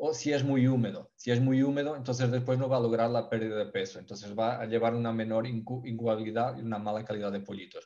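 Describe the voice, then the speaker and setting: In a Portuguese accent, a man speaks with monotone, flat intonation and a dark, mellow tone. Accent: Portuguese accent in Spanish, noticeable. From Portugal. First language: Portuguese (speaking Spanish). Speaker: poultry ventilation expert. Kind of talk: webinar presentation. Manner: halting, with fillers and self-corrections.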